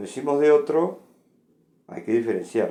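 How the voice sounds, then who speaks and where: The man's voice has a dark, mellow tone. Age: 60s. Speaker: philosophy lecturer. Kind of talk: lecture. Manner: conversational with frequent fillers.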